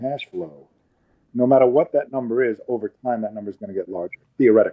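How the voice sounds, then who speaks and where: Dry, close sound with no echo frames this man's voice. He speaks at a fairly quick pace with a dark, mellow tone. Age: 60s. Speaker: retired dentist asking questions. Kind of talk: podcast interview. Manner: halting.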